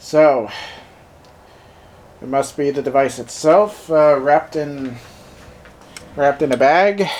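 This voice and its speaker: Speaking very slowly with long, frequent pauses, a man with a fairly high pitch is heard over noticeable background noise. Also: ordinary pitch variation. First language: German. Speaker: tech reviewer. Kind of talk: product unboxing review. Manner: casual, halting with many fillers.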